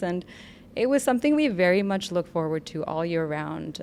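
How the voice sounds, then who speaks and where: A woman with an American accent speaks at a moderate pace and a fairly low pitch. She has an unremarkable speaking voice. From US Northeast, New Jersey/New York. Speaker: documentary filmmaker. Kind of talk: podcast interview.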